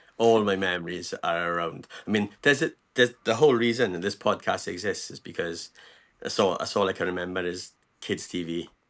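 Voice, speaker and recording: A man with a plain, everyday voice and a fairly low pitch talks at a fairly quick pace with ordinary pitch variation and big swings in loudness over a quiet background. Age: 40s. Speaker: podcast host and animator. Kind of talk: casual chat.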